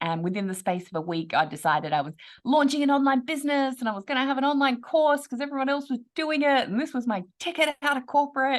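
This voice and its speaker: Over a quiet background, a woman with an Australian accent talks at a very fast pace in a high pitch, her pitch swinging very widely and hardly any pauses breaking her speech. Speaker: online business coach. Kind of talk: podcast interview.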